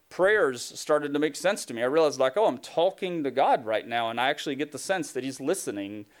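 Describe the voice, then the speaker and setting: With hardly any pauses, a man talks at a very fast pace in a fairly high pitch with lively intonation, recorded very cleanly over a silent background. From Tennessee, US South. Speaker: pastor. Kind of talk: sermon. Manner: casual, conversational.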